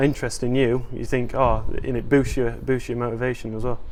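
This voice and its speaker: Over noticeable background noise and audible room echo, a man of medium pitch speaks fairly quickly in a monotone, flat delivery. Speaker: academy rugby player. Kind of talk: interview.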